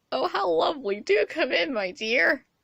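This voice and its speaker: A put-on character voice, female-sounding, fairly high, squeaky and croaky, goes along at a moderate pace. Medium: read story. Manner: falsely sweet.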